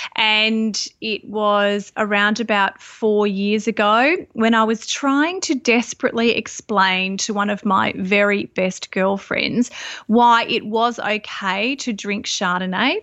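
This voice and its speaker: A woman with an Australian accent talks at a very slow pace with hardly any pauses. Her pitch is fairly high and her intonation fairly even. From Australia, Sydney. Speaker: wine community founder. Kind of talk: interview. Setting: Skype call.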